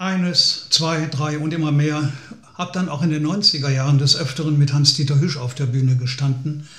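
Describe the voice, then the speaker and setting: At a moderate pace, a man with a fairly high pitch speaks in a somewhat breathy voice with fairly even intonation, and room echo is audible. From Lower Rhine region, Germany; Germany. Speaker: folk singer-songwriter. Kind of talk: personal storytelling. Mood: calm, reflective storytelling. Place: home room.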